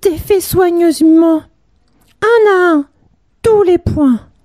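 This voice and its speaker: In a put-on character voice, the speaker talks very slowly in a gentle tone at an extremely high pitch. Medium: read story. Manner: soft, gentle.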